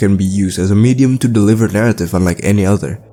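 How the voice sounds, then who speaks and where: Very fast man with a non-native accent, fairly low pitch and a dark, mellow tone. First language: not English. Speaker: gaming YouTuber. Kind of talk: video essay narration with gameplay commentary. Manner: casual, conversational.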